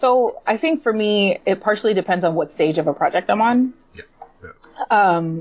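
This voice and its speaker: Speaking with a plain, everyday voice, a woman keeps a moderate pace and lively intonation. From New York City (Puerto Rican family). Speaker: comic book writer. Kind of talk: casual interview chat.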